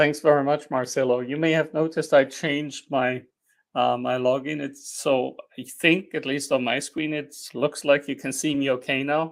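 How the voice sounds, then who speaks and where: On a very clean recording with a silent background, a man with a German accent speaks in a fairly high pitch with monotone, flat intonation. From Germany. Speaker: engineering dean. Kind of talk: panel presentation. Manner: hesitant, many fillers.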